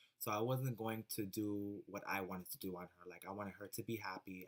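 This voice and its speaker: Fairly even in intonation, a man speaks at a moderate pace with a fairly low pitch. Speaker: makeup artist vlogger. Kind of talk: casual vlog talk. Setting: at home. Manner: halting, many fillers.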